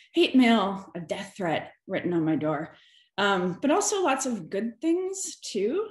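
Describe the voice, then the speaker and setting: At a very slow pace, a woman speaks with very wide pitch swings and a somewhat breathy voice. The room echo is audible, though the background is quiet. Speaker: scientist panelist. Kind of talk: panel discussion. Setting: video call. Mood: serious, reflective. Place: home room. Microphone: video call.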